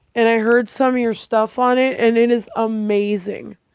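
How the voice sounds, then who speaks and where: This woman talks at a fairly slow pace in a monotone, flat intonation. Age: 20s. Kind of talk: casual personal video message. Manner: halting, many fillers.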